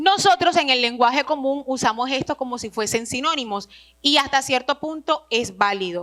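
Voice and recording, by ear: At a moderate pace, a woman speaks with a high pitch, a fairly bright tone and ordinary pitch variation.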